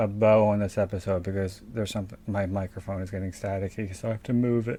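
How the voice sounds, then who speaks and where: In an American accent, a man speaks at a fairly quick pace with fairly even intonation. His voice is dark and mellow, fairly low in pitch. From South Philadelphia. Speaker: podcast co-host. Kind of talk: casual chat.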